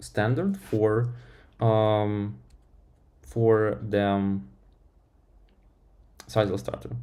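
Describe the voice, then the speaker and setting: A man with a fairly low pitch and a dark, mellow tone speaks with lively intonation. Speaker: software developer streamer. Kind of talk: live-stream tech talk. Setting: live stream. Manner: halting, many fillers.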